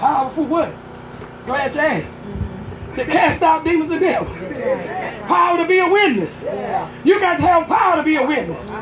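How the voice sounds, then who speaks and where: An extremely high-pitched woman's voice, with long, frequent pauses over noticeable background noise. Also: ordinary pitch variation. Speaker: pastor. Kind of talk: sermon at a tent revival, call-and-response preaching. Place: tent.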